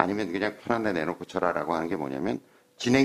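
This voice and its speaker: His pitch rises and falls across a very wide range. This man's delivery runs fairly quick. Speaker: golf instructor. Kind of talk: instructional chat.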